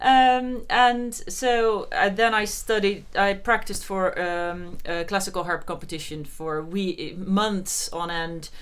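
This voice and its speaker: Speaking very slowly in a Dutch accent with hardly any pauses, the voice shows ordinary pitch variation against audible room echo. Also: woman, medium pitch for a woman. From Netherlands. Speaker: harpist. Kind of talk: interview.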